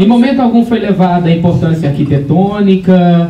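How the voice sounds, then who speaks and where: A man speaks at a high pitch. Audible room echo and noticeable background noise fill the recording. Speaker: theatre group leader, cultural activist. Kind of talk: seminar presentation with slides. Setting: seminar with audience. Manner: conversational, hesitant at times.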